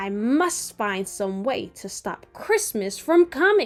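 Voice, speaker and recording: Over faint music in the background, a woman growls in a put-on character voice at a fairly high pitch and fairly slow pace, with very wide pitch swings and big swings in loudness. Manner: growling, snarling.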